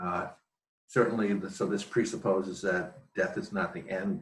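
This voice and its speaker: A man speaks in a plain, everyday voice, his fairly low pitch rising and falling in an ordinary way. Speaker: spiritual teacher. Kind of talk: webinar lecture. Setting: home office.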